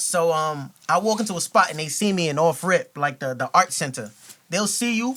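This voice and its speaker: A man with a New York accent speaks at a moderate pace in a high, bright, sharp voice with lively intonation. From New York with childhood years in Ghana. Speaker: rapper. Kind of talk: casual chat. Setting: studio.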